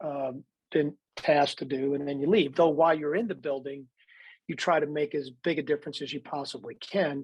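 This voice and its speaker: A man at a fairly high pitch in a normal speaking voice, fairly quick, with fairly even intonation. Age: 60s. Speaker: baseball executive and TV analyst. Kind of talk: faith interview.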